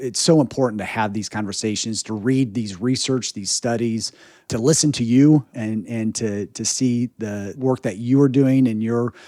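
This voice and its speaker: A man with an American accent speaks at a moderate pace in an ordinary speaking voice, with medium pitch and fairly even intonation. He leaves hardly any pauses, and the sound is dry and close with no echo. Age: 40s. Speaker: podcast host. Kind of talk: interview conversation.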